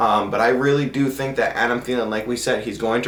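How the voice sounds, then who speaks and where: Against noticeable background noise and audible room echo, a man speaks at a medium pitch with monotone, flat intonation. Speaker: fantasy football podcast host. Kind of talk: solo podcast commentary. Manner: usually loud.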